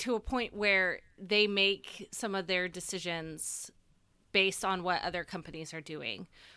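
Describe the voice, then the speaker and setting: On a very clean recording with a silent background, a woman with an American accent speaks at a fairly slow pace and medium pitch, her tone bright and sharp and her intonation fairly even. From United States. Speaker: podcast co-host. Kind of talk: casual chat.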